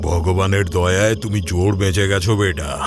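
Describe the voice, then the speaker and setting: A man puts on a character voice with very deep, low pitch. He goes at a moderate pace over clear background noise. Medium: read story. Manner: grave, gentle.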